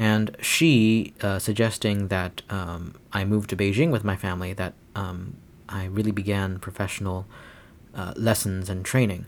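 A man with a Chinese accent talks at a moderate pace in a fairly low pitch. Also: ordinary pitch variation. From China. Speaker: classical pianist. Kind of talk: interview. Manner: halting.

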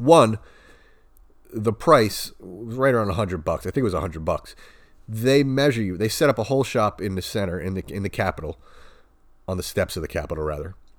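A man speaks at a fairly quick pace with long, frequent pauses, his fairly low pitch moving in lively intonation over a very clean recording with a silent background. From Long Island, New York. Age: 30s. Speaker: podcast host, hockey dad. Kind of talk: casual monologue. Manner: hesitant, many filler words.

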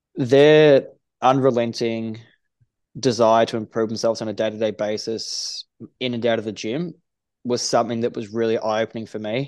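With an Australian accent, a man talks at a moderate pace and medium pitch. His intonation is fairly even, and the background is quiet. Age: 30s. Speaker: strength and conditioning coach. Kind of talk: casual interview. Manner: halting.

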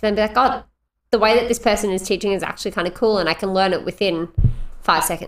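A woman with an Australian accent at a very fast pace, medium in pitch with fairly even intonation. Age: 20s. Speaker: podcast co-host. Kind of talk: casual chat.

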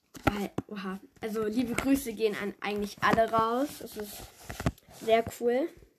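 The speech moves at a fairly slow pace with fairly even intonation. Long pauses break it up frequently. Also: woman, fairly high pitch for a woman. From Germany. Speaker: podcaster. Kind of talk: solo podcast monologue.

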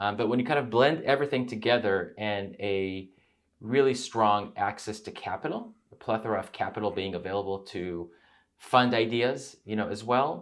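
A man speaks in an ordinary speaking voice, fairly low-pitched with ordinary pitch variation, at a moderate pace on a very clean recording with a silent background. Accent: American. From Israel, then US. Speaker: venture investor, former tech CEO. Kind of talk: casual interview conversation.

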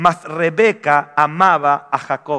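A man's bright, sharp tone at a very slow pace, with ordinary pitch variation. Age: 40s. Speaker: pastor. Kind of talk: sermon. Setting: church.

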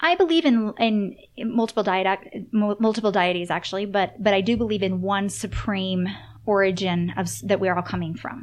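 At a moderate pace, a woman speaks at medium pitch in a plain, everyday voice with ordinary pitch variation. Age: 30s. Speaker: author and intuitive. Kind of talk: casual chat.

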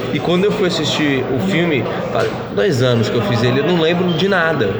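A man with a São Paulo accent talks at a moderate pace in a fairly high pitch. Noticeable background noise and audible room echo fill the recording. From São Paulo, Brazil. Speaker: actor. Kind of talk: casual interview.

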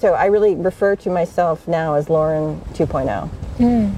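A woman with an American accent can be heard, noticeable background noise behind her. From United States. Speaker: author and facilitator. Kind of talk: interview. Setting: outdoors.

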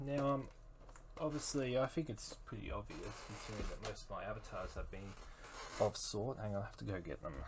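An Australian-accented man at a fairly quick pace. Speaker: solo podcaster. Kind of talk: casual monologue. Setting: home recording.

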